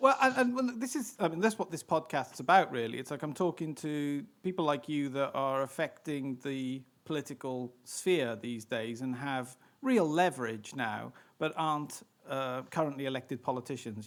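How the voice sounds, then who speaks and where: Someone with a British accent talks at a fairly quick pace with ordinary pitch variation. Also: man. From Britain. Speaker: podcast host. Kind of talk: interview. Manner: halting.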